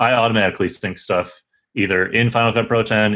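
At a moderate pace, a man talks in an unremarkable speaking voice with fairly even intonation. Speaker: video producer. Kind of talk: casual interview chat.

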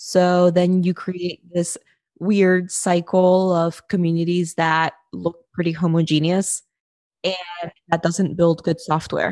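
A woman with a medium pitch talks very slowly. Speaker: podcast host. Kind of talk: scripted narration with interview clips.

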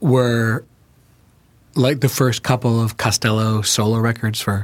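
In an American accent, a man talks at a medium pitch with monotone, flat intonation on a very clean recording with a silent background. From New York, then Chicago from age ten. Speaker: writer and filmmaker. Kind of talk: casual chat.

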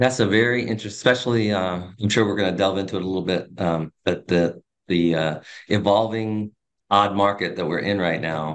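A man talks at a fairly quick pace in a normal speaking voice. His intonation is fairly even. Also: fairly low pitch for a man. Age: 40s. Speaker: real estate agent and team leader. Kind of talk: interview.

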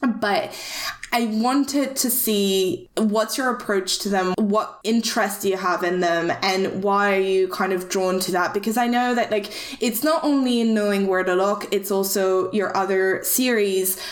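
The speech comes at a fairly slow pace with ordinary pitch variation and very even loudness, over noticeable background noise. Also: woman, medium pitch for a woman. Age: 20s. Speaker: podcast host. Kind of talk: casual chat.

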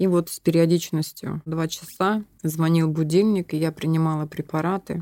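A woman with a very deep, low pitch speaks in a dark, mellow tone with monotone, flat intonation. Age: 30s. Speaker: former drug user living with HIV. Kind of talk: personal testimony. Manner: laughs and jokes a lot.

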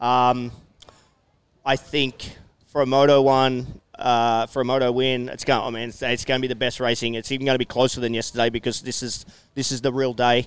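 This man speaks with an Australian accent at a fairly quick pace. His medium pitch stays monotone and flat. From Australia, New South Wales (Hunter Valley). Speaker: former pro motocross racer. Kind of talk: casual interview. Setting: outdoor event tent, live over PA.

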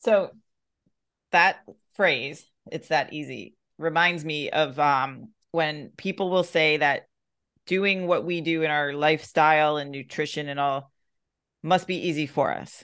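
A woman's very deep, low voice at a fairly slow pace, with fairly even intonation, long and frequent pauses, and a quiet background. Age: 40s. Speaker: podcast host and fitness coach. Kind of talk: casual chat.

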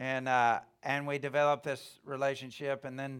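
A man with a Southern US accent, medium-pitched, at a fairly slow pace, on a very clean recording with a silent background. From US South, Alabama. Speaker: preacher, ministry founder. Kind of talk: sermon. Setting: church service with audience.

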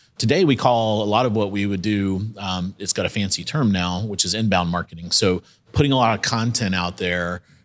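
An ordinary speaking voice from a man, fairly low in pitch, with ordinary pitch variation and hardly any pauses. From South Carolina. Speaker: entrepreneur. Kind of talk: live panel discussion.

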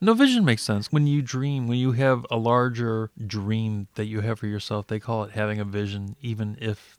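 An ordinary speaking voice from a man, fairly low-pitched and moderately paced with fairly even intonation, in a very clean recording with a silent background and a dry, close sound with no echo. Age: 40s. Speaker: podcast host. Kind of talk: interview.

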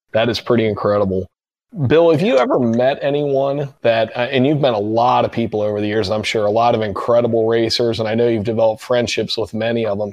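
Talking at a very fast pace, a man with a Midwestern American accent keeps a medium pitch and fairly even intonation. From Cincinnati, Ohio. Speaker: podcast host. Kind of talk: interview.

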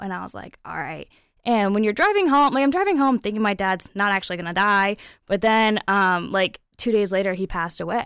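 Her American accent comes through as a woman with a normal speaking voice talks at a medium pitch and a moderate pace, with ordinary pitch variation. The recording is very clean, with a silent background. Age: 20s. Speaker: pageant titleholder and painter. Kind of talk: interview.

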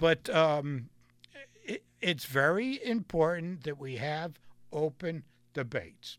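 Speaking very slowly with long, frequent pauses, a man with an American accent uses lively intonation at a fairly high pitch. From Connecticut. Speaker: local radio host. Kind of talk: casual political talk show. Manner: halting, many fillers.

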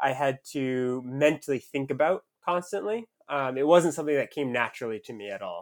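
A man with an American accent has an unremarkable speaking voice, fairly high in pitch with ordinary variation, at a moderate pace. The recording is very clean, with a silent background and a dry, close sound with no echo. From US, southern Maine. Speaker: professional runner. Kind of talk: casual interview.

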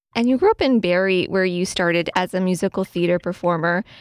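A woman with a medium pitch speaks at a fairly quick pace in a plain, everyday voice, with ordinary pitch variation. The sound is dry and close with no echo, on a very clean recording with a silent background. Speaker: music director and interviewer. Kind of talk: radio interview.

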